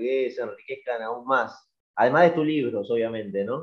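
A man with a Rioplatense accent. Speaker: podcast host. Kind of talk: interview.

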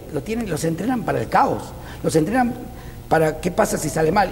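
Talking at a very fast pace, a man with a fairly high pitch makes very wide pitch swings, with audible room echo and noticeable background noise. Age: 50s. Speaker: life coach. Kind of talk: interview. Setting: guest's training center.

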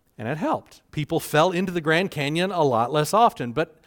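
In a Southern US accent, a man talks at a fairly quick pace with lively intonation, in a very clean recording with a silent background and a dry, close sound with no echo. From US South Carolina. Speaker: pastor. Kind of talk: sermon. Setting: church.

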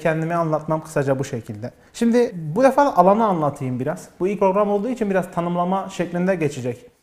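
Lively in intonation, a man's speech moves along fairly quickly. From Diyarbakır, southeastern Turkey. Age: 20s. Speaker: psychological counselor and TV show host. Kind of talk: live TV talk show monologue. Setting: TV studio, live broadcast.

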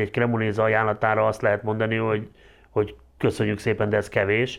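A man uses a normal speaking voice at medium pitch and a fairly quick pace. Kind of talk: casual discussion.

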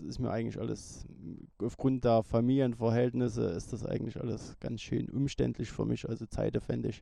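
Moving at a moderate pace, the voice carries a dark, mellow tone. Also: man. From Saxony, Germany (Erzgebirge area). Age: 40s. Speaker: enduro motorcycle racer. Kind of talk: interview. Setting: at a race event in France, evening.

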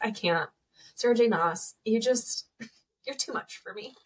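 A woman speaking at a fairly slow pace. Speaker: podcast co-host. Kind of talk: casual chat. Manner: upbeat.

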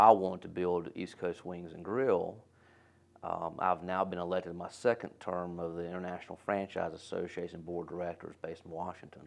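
Speaking at a moderate pace, a man with a very deep, low pitch is heard over a quiet background. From North Carolina, Winston-Salem. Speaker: restaurant franchise executive. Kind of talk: casual interview.

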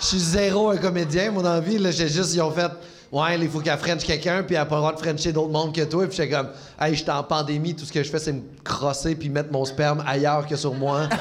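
With audible room echo and noticeable background noise, a man talks at a fairly quick pace in a fairly high pitch with fairly even intonation. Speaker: comedian. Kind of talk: casual chat. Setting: stage with audience.

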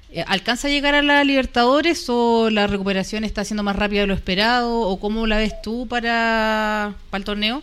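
A woman with an unremarkable speaking voice talks at a fairly quick pace with hardly any pauses. Her pitch is fairly high with ordinary variation, on a very clean recording with a silent background. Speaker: football commentator. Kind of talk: casual chat.

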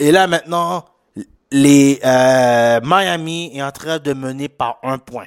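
Speaking at a very slow pace, a man with a slight Haitian accent uses ordinary pitch variation at a fairly high pitch. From Quebec, Haitian family. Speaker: sports podcast host. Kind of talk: casual solo sports commentary. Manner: halting, many fillers; animated, with lots of English slang.

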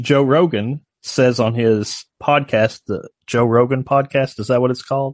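This man has a plain, everyday voice at medium pitch, with fairly even intonation. He talks at a fairly slow pace with hardly any pauses. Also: dry, close sound with no echo. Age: 40s. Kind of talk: casual chat.

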